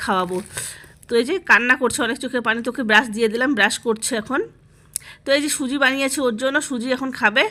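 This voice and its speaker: Bright and sharp in tone, a woman with a high pitch speaks with fairly even intonation. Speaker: home vlogger. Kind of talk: voice-over vlog narration. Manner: halting, stumbling over words; casual.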